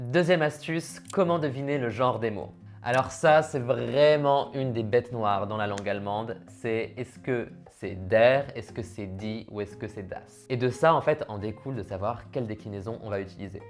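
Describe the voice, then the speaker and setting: A man with an unremarkable speaking voice and medium pitch talks at a moderate pace with lively intonation, big swings in loudness and hardly any pauses. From France. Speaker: language learning youtuber. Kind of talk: tutorial. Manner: casual.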